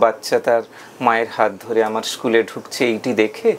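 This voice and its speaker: The man's voice sits at a medium pitch, with noticeable background noise behind it. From West Bengal, India. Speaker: reciter and audio drama performer; recitation teacher. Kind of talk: interview answer.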